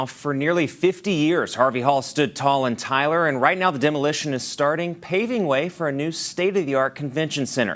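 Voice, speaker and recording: A man speaks in a plain, everyday voice, pitched fairly high with ordinary pitch variation. He goes at a fairly quick pace with hardly any pauses. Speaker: television news anchor. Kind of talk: TV news anchor delivery.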